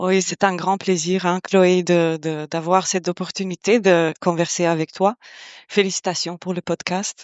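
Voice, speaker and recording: A woman's fairly low-pitched voice in a monotone, flat intonation. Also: fairly slow pace. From Kosovo. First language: Albanian (speaking French). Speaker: organizational psychologist. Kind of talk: podcast interview. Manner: hesitant, many fillers.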